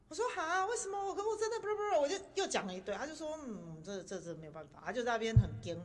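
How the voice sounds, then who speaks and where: Talking at a very fast pace with hardly any pauses, a woman uses a high pitch, very wide pitch swings and big swings in loudness. Audible room echo and noticeable background noise surround her. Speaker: podcast host sharing travel stories. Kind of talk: casual chat.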